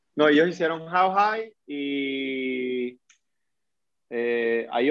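A fairly high-pitched male voice with ordinary pitch variation. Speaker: podcast host. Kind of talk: casual chat.

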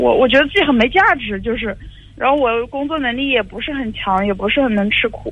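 A woman's high-pitched voice with lively intonation at a fairly quick pace, over noticeable background noise. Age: 20s. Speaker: caller. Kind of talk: phone call-in advice. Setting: phone call. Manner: halting.

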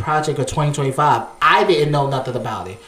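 Noticeable background noise is present. The talking proceeds at a moderate pace. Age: 30s. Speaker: podcast co-host. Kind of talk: casual chat.

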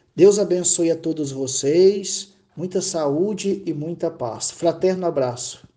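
A man's dark, mellow voice, high for a man, very slow, with ordinary pitch variation. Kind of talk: personal testimony.

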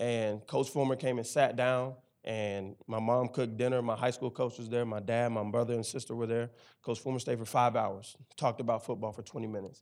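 Medium-pitched man in a Memphis accent, fairly quick and monotone, against a quiet background. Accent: Southern US (Memphis). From Memphis, Tennessee. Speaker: campus ministry staff, former football player. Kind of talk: interview testimony on church stage.

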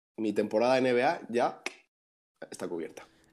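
Against a quiet background, a man with a dark, mellow tone speaks at a moderate pace with fairly even intonation. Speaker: basketball podcast co-host. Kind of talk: casual chat. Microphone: new microphone with interference.

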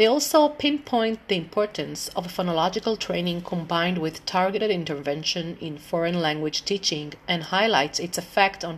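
A woman speaks with an Israeli accent and lively intonation. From Israel, Tel Aviv. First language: Hebrew. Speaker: English teacher. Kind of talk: informal presentation; reading aloud. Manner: halting, many fillers.

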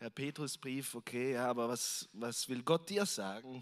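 On a very clean recording with a silent background, a man speaks in an ordinary speaking voice at medium pitch, with ordinary pitch variation and a fairly slow pace. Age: 30s. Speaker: visiting preacher. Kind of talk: sermon. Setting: church service with congregation. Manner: casual, with frequent fillers.

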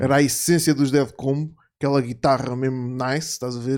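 A man's unremarkable speaking voice at medium pitch, with fairly even intonation and a moderate pace. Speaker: podcast host. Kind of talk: casual chat.

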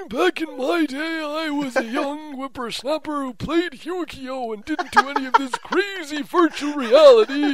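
The speaker uses a put-on character voice. Background noise is clearly audible. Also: man, extremely high pitch for a man, moderate pace. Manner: grumpy, reminiscing.

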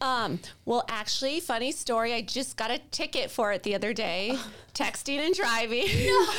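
At a moderate pace, a woman speaks in a fairly high pitch with lively intonation and a plain, everyday voice. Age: 40s. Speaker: mortgage broker. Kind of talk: casual chat.

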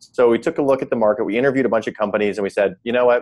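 Medium-pitched male speech in an American accent, with ordinary variation in pitch. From US Midwest (South Dakota). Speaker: startup founder and CEO. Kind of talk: interview. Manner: hesitant with fillers.

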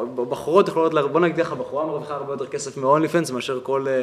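Fairly high-pitched male speech against noticeable background noise. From Israel, Kiryat Malachi. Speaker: podcast host. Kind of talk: interview.

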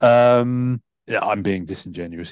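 A man is speaking. He has a British accent. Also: quiet background. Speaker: podcast host. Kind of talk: casual chat.

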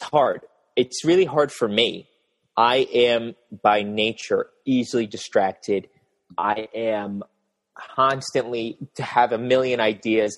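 In an American accent, a man talks at a very slow pace with ordinary pitch variation, the sound dry and close with no echo. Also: medium pitch for a man. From rural US. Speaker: fashion YouTuber. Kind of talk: casual interview chat.

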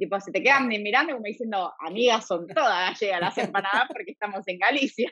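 Her intonation lively, a woman talks in a plain, everyday voice. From Argentina, Buenos Aires (Devoto). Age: 30s. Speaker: emigrant interviewee. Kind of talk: casual interview chat. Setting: remote call.

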